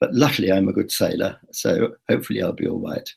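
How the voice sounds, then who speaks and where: A man with a British accent and a very deep, low pitch talks at a moderate pace. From Britain. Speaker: travel vlogger. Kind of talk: live video blog. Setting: live online broadcast. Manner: chatty, with hesitations.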